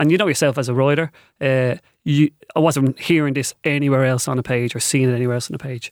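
In a very clean recording with a silent background and a dry, close sound with no echo, a man with a Dublin accent speaks at a very fast pace, medium in pitch, with monotone, flat intonation. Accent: Dublin Irish. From Ireland, north Dublin (Balbriggan). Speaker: novelist and secondary school teacher. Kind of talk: radio interview.

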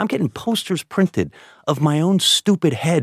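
Using vocal fry, a man speaks at a fairly quick pace and a fairly high pitch, recorded very cleanly against a silent background with a dry, close sound and no echo. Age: 40s. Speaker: comedian. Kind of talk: casual chat.

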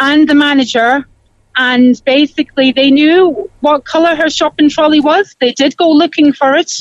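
Recorded with a dry, close sound and no echo, a woman in a Cork accent speaks at a moderate pace with high pitch and ordinary pitch variation. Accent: Cork Irish. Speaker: caller. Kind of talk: phone-in chat.

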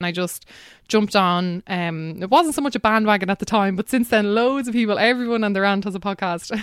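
A woman speaks with a southeastern Irish accent. Her pace is fairly quick. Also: medium pitch for a woman, ordinary pitch variation, very clean recording, silent background. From Ireland, County Wexford. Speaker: climate activist and podcaster. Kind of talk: casual interview.

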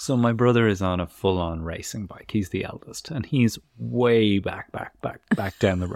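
Speaking at a moderate pace with an Irish accent, the voice has lively intonation, big swings in loudness and hardly any pauses. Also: man, fairly low pitch for a man. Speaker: parenting podcast co-host. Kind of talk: casual chat.

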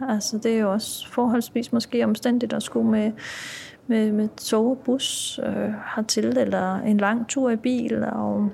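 A woman speaks at a very slow pace with very even loudness. Noticeable background noise runs underneath. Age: 40s. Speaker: prison officer. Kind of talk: interview.

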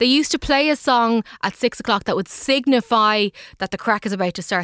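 A woman with an Irish accent speaks at a fairly high pitch with ordinary pitch variation, in a dry, close, very clean recording with a silent background. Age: 30s. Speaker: technology correspondent. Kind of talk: casual chat.

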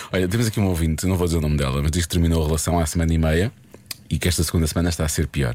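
Over noticeable background noise, a man speaks very fast in a very deep, low voice with fairly even intonation and very even loudness. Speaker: radio host. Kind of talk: casual chat.

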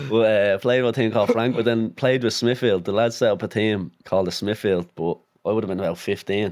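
Fairly low in pitch, this man talks at a very fast pace. He has a Dublin accent and fairly even intonation. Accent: Dublin Irish. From Dublin North Inner City, Ireland. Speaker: footballer. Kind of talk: casual interview chat.

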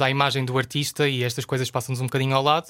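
A bright, sharp tone moves at a very fast pace with monotone, flat intonation. The recording is very clean with a silent background. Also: man. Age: 20s. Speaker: journalist. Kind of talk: casual chat.

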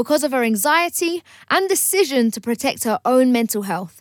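A woman with a British accent speaks at a moderate pace in a high voice, her pitch swinging very widely. The recording is very clean and dry, close with no echo, over a silent background. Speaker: radio host. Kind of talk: radio talk show. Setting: studio. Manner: animated.

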